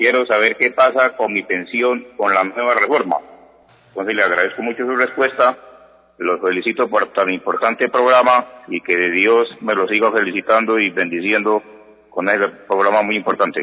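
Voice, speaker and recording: In a normal speaking voice, a man talks at medium pitch and a moderate pace with ordinary pitch variation. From Colombia, Santander. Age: 60s. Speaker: caller. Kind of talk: radio call-in question.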